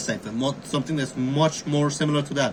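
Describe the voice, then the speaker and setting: Someone with a non-native accent talks at a very fast pace against noticeable background noise. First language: not English. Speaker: amateur YouTuber, cryptography hobbyist. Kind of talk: tutorial. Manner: casual, halting with fillers.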